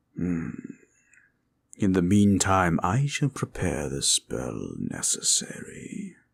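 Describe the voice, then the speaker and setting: Very deep and low, a man's put-on character voice creeps along at a very slow pace. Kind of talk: audio roleplay. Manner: formal, gentle.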